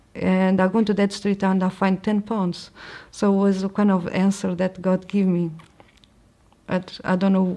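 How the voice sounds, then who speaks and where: In a Portuguese accent, a woman speaks at a medium pitch with a dark, mellow tone. Her intonation is monotone and flat, and her pace is moderate. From Portugal. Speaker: convert to Islam. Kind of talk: testimony. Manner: halting.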